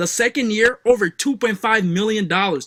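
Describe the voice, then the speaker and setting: A man's high, raised, projected voice with a bright, sharp tone and ordinary pitch variation, in a very clean recording with a silent background and a dry, close sound with no echo. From West Africa, Liberia. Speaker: online marketing coach. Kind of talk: sales pitch.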